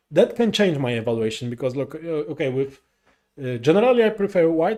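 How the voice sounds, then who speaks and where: A man with a Polish accent talks with lively intonation. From Poland. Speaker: chess commentator. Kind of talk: live commentary. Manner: halting, many fillers.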